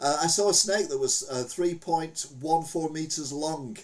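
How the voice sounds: The pace is fairly slow. Room echo can be heard. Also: man.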